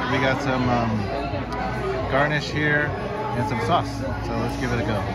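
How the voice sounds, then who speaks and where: With clear music in the background, the man's speech moves at a fairly quick pace. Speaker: food vlogger. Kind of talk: food review commentary. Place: cafe. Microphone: camera far.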